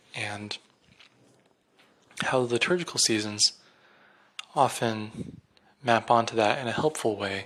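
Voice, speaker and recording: Soft-spoken, a man talks at a fairly slow pace with a medium pitch and ordinary pitch variation. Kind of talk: solo reflective monologue. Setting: at home at night. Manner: hesitant, many fillers.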